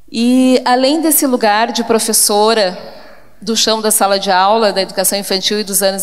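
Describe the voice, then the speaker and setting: A woman with a southern Brazilian accent speaks at a fairly high pitch with fairly even intonation. Noticeable background noise and audible room echo fill the recording. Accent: gaúcho accent, noticeable. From southern Brazil, Porto Alegre (Rio Grande do Sul). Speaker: education professor. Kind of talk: conference talk.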